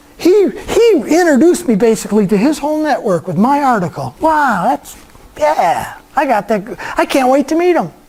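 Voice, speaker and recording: A man with an extremely high pitch speaks in an animated tone at a moderate pace, his pitch swinging very widely while his loudness stays very even, over noticeable background noise. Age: 60s. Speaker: guest speaker, LinkedIn trainer. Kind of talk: workshop talk. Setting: church meeting room with audience.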